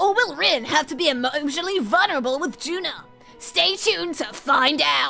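A high-pitched, put-on character voice at a moderate pace, with clear music in the background. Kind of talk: promo trailer voice. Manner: dramatic, teasing.

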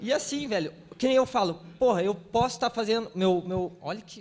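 This man speaks with a slight Paraná accent and ordinary pitch variation. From Paraná, Brazil. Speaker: web developer panelist, event organizer; panelist. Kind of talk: panel discussion. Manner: casual, slangy. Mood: passionate, informal, profane. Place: stage. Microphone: handheld.

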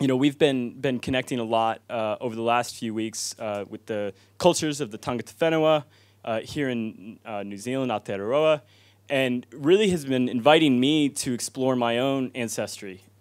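A man at a moderate pace with ordinary pitch variation, against a quiet background. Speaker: speaker. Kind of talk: informal talk to audience. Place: hall. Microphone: handheld.

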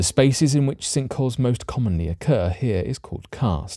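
A man at a moderate pace with lively intonation, dry sound with no echo, and music in the background. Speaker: documentary narrator. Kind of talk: scripted narration.

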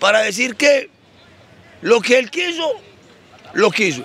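Over crowd noise in the background, a man projects a raised voice at an extremely high pitch, with lively intonation and a moderate pace, the sound dry with no echo. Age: old. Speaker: theologian. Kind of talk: religious teaching talk. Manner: halting, repeats words. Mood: earnest, mildly aggrieved. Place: street. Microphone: handheld.

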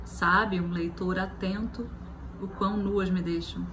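A soft-spoken woman with a warm tone at a very slow pace, amid noticeable background noise. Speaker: poetry performer. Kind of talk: poem reading aloud, then short book recommendation. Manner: intimate, emotive, soft and delicate delivery; emotional, warm. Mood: tender, expressive. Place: home room. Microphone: phone near.

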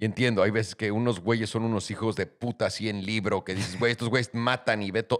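With a Mexican accent, a man talks at a fairly quick pace in a monotone, flat intonation, with hardly any pauses and a quiet background. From Mexico. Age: 30s. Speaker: podcast host. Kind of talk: casual chat. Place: studio. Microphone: studio mic.

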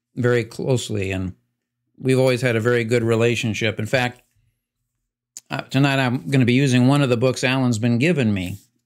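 A man's fairly quick speech carries fairly even intonation, and the background is quiet. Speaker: pastor. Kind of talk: livestream announcement before a Bible study. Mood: somber, sharing sad news. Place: office.

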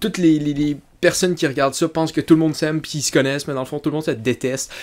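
A man speaks in an animated tone with a Quebec accent. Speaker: YouTuber commentator. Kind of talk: casual vlog commentary. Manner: halting, many fillers and repetitions. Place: home room. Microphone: studio mic.

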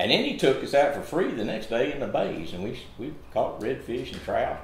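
Audible room echo accompanies speech delivered at a fairly quick pace. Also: man. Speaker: interviewer. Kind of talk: casual interview storytelling. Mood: enthusiastic, nostalgic. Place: home room. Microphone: camera far.

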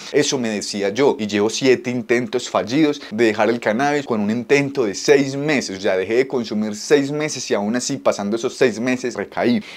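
A man speaks at a moderate pace with a medium pitch. His pitch varies in an ordinary way, and he hardly pauses. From Colombia. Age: 20s. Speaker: YouTuber, home cannabis grower; YouTuber. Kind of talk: personal vlog confession. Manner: unscripted, one take. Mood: earnest, vulnerable, motivated. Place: home room. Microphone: phone near.

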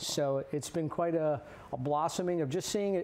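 A man with an American accent, fairly high-pitched, at a moderate pace. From New Jersey. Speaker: blacksmith, pastor and Navy veteran. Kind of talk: interview. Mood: earnest, passionate. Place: studio. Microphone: lapel.

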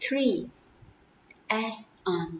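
At a very slow pace, the speaker talks over light background noise. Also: woman. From Vietnam. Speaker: English teacher. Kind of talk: lecture. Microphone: webcam.

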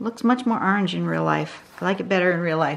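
A woman's voice over light background noise. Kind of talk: tutorial.

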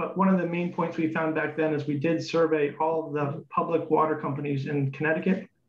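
Monotone, flat intonation comes through with audible room echo and light background noise. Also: man. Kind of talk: public comment presentation. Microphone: video call.

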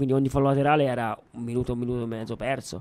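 A man talks at a very fast pace in monotone, flat intonation. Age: 20s. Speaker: youth football coach. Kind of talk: radio interview. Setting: studio. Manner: laughs often. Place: studio.

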